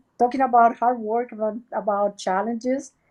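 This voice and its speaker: The voice carries a Puerto Rican accent. Its tone is dark and mellow. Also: woman. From Puerto Rico. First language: Spanish. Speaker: research center director. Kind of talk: interview. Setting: video webchat. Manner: halting, many fillers.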